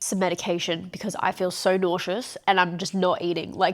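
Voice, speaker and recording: A woman with an Australian accent talks in an animated tone in a very clean recording with a silent background. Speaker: vlogger. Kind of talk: video diary. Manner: casual, animated.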